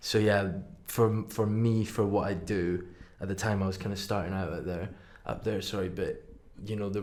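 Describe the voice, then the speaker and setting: The voice has monotone, flat intonation. Audible room echo surrounds it. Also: man. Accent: Highland Scottish. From Scottish Highlands. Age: 20s. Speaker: tattoo artist. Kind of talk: casual chat. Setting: studio.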